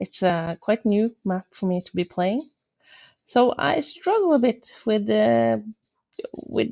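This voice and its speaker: A woman speaks with a Norwegian accent. Her pace is fairly slow. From Norway. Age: 40s. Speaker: gaming YouTuber. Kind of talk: gameplay commentary. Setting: home, on the sofa. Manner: hesitant, many filler words.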